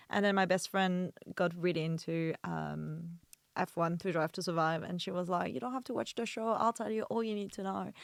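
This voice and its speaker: In a French accent, the speaker talks at a moderate pace on a very clean recording with a silent background and a dry, close sound with no echo. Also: woman, fairly low pitch for a woman, ordinary pitch variation. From France. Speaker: video producer and content creator. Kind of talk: casual chat.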